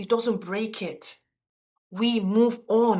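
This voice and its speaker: In a non-native accent, a woman speaks at a fairly high pitch with ordinary pitch variation. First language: not English. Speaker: YouTube coach for sign language interpreters. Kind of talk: motivational talk to camera. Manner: expressive, conversational.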